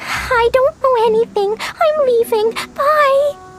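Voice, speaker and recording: A put-on character voice sits at an extremely high pitch and moves at a fairly slow pace. Clear background noise is present. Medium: machinima. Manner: offhand, evasive.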